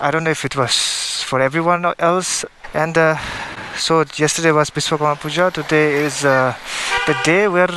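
The sound is dry with no echo, over noticeable background noise. The pace is moderate. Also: man. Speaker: motovlogger rider. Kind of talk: casual vlog chat. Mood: relaxed, cheerful. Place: motorbike.

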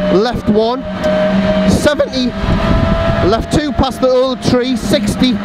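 Someone talks at a very slow pace against loud background noise, the sound dry with no echo. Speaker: rally co-driver. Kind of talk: rally pace notes read aloud at speed from an in-car notebook. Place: car. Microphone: helmet.

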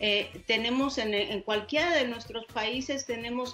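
Fairly even intonation from a woman with a Mexican accent, at a fairly slow pace, over faint music in the background. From Mexico. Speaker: broadcaster, journalist, producer, university lecturer. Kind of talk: interview answer. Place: home room. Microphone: video call.

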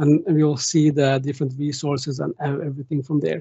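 Somewhat breathy, monotone delivery with flat intonation, a Norwegian accent, and a quiet background. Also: man. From Norway. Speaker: tech conference speaker; conference speaker. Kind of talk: technical presentation with demo. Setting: online video meeting with screen share.

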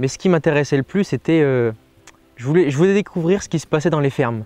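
This man talks at a fairly quick pace with a fairly high pitch and ordinary pitch variation, in a dry sound with no echo. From western France, Deux-Sèvres (Niort); western France. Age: 20s. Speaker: dairy farm worker. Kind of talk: interview. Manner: halting, with many hesitations.

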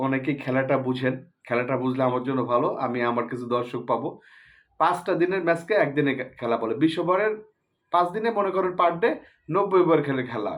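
A man talks with lively intonation. His pitch is fairly high for a man. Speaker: cricket commentary YouTuber. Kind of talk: casual opinion monologue. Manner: animated.

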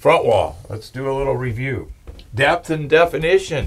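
Somewhat breathy, a man's voice carries ordinary pitch variation. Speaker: presenter. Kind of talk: lecture. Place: studio.

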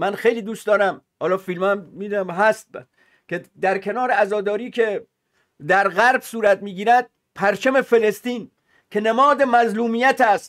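The man's voice is high-pitched, with fairly even intonation. He keeps a moderate pace against a quiet background. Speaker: political commentator. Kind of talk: commentary. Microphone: webcam.

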